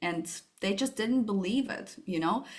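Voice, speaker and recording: A woman with a Russian accent speaks with ordinary pitch variation. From Russia, Moscow. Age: 30s. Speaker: startup founder. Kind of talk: interview.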